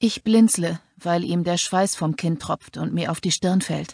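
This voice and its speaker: A woman talks at a very slow pace and a medium pitch. The sound is dry and close with no echo, and the background is quiet. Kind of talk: dramatic audiobook narration. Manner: slow, hushed, tense; grim, suspenseful, first-person.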